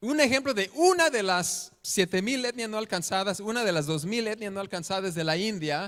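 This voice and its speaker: Recorded very cleanly against a silent background, a man with a non-native accent speaks at a moderate pace and high pitch, with lively intonation and hardly any pauses. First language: not Spanish (speaking Spanish). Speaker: missionary preacher. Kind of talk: sermon. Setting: church. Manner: halting.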